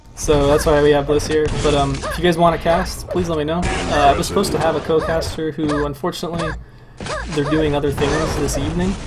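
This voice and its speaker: The talking moves along at a fairly quick pace. Behind it, music can be heard. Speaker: esports caster. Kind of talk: live commentary. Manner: casual, rambling chatter.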